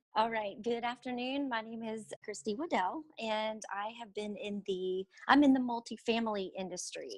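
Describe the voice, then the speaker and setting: With an American accent, a woman talks at a moderate pace with hardly any pauses, her fairly high voice showing ordinary pitch variation and big swings in loudness. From Houston, Texas. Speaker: apartment industry trainer. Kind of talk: podcast interview.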